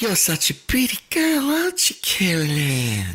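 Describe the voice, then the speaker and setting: Put-on character voice at a middle pitch and a moderate pace. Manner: creepy, sinister.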